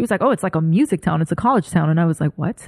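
A woman speaks very fast in a New York accent, her tone animated and her pitch varying in an ordinary way, the sound dry and close with no echo. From New York, Brooklyn. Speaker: creative director. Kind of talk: casual chat.

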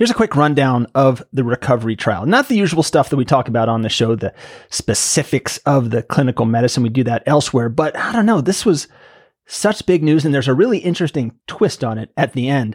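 In a normal speaking voice, a man talks at a fairly quick pace with lively intonation, the recording very clean with a silent background and a dry, close sound with no echo. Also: fairly high pitch for a man. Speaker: podcast host. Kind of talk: interview conversation, casual banter.

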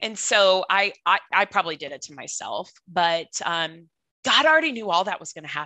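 Her medium-pitched voice has a bright, sharp tone, very wide pitch swings and big swings in loudness as the woman speaks at a moderate pace in a dry, close sound with no echo. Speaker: cancer survivor and pageant titleholder. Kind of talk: casual interview, sharing personal testimony.

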